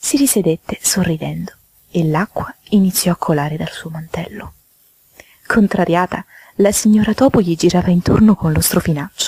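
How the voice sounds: A woman's fairly low voice, dark and mellow with a slightly husky edge, at a moderate pace with ordinary pitch variation, in a dry, close sound with no echo.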